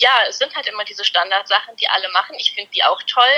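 A woman speaks over noticeable background noise. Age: 20s. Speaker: dog trick trainer and law trainee. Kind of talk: casual interview.

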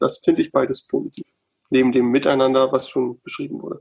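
A man speaks very fast in a dry, close sound with no echo. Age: 40s. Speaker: member of parliament, lawyer. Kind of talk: casual panel discussion. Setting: video call from home.

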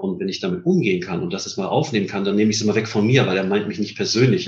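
A man's somewhat breathy voice sits at a fairly low pitch and moves with lively intonation. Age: 50s. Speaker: headhunter, managing director. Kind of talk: interview.

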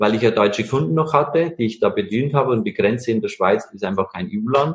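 Lively intonation runs through the speech. The voice has a somewhat breathy quality. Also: man. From Bavaria, Bavarian Forest. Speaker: master engraver, entrepreneur. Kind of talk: interview.

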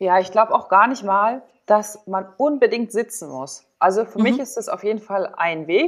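With an unremarkable speaking voice, a woman talks at a moderate pace with hardly any pauses, her fairly high pitch carrying lively intonation and big swings in loudness. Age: 30s. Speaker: former volleyball player, sports psychologist and yoga teacher. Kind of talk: casual interview.

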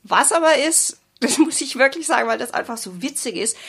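A woman talks at a moderate pace with vocal fry. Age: 50s. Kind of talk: interview.

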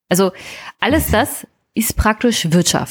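Lively intonation in a plain, everyday voice, on a very clean recording with a silent background. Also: woman. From Brandenburg, Germany (Teltow-Fläming). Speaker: podcast co-host. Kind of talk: casual political discussion.

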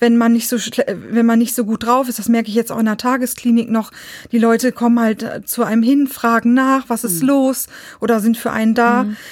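A woman talks at a fairly quick pace in a fairly high pitch. Her intonation stays monotone and flat. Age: 40s. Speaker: psychiatric patient sharing experience. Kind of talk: interview.

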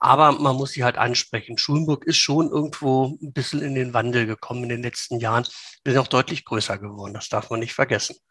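Bright and sharp in tone, a man speaks at a very fast pace with medium pitch. His intonation is fairly even, and the sound is dry and close with no echo. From Lower Saxony, Hanover region. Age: 50s. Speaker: local politician. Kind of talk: interview. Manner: hesitant with many fillers.

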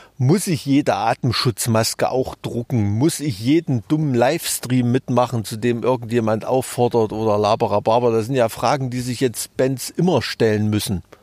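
In a Thuringian accent, a man speaks at a moderate pace with hardly any pauses, medium pitch and ordinary pitch variation, the sound dry and close with no echo on a very clean recording with a silent background. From Thuringia, eastern Germany. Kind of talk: casual interview.

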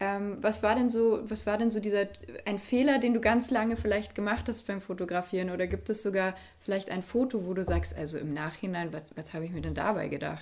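A woman speaks in a plain, everyday voice at medium pitch. Her pace is fairly quick, with ordinary pitch variation. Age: 20s. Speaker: podcast and video interview host. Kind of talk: interview conversation.

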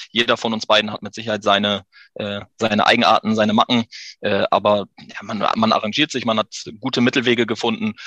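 The tone is bright and sharp, with monotone, flat intonation at a fairly quick pace. The sound is dry and close, with no echo. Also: man, medium pitch for a man. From Emsland, northwest Germany. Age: 30s. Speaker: business owner. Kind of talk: interview.

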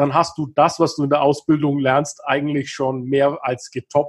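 Over a quiet background, a man with a fairly high pitch talks at a fairly slow pace in an ordinary speaking voice. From Upper Franconia, northern Bavaria (Kulmbach). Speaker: business consultant. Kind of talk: interview.

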